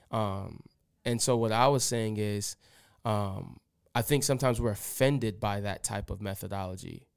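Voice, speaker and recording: A man in a normal speaking voice talks at a moderate pace with fairly even intonation, in a very clean recording with a silent background. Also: fairly low pitch for a man. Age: 30s. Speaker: pastor. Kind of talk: casual chat.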